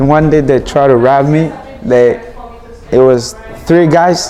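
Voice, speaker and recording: A man with a medium pitch and ordinary pitch variation talks at a moderate pace amid noticeable background noise. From Burkina Faso, West Africa. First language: not English. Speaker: immigrant student. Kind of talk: interview testimony.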